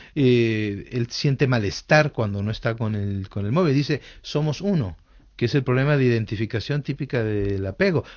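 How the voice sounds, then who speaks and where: This man uses a normal speaking voice, pitched in the medium range. He keeps a moderate pace. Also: lively intonation. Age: 60s. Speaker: author and psychologist. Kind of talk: radio interview.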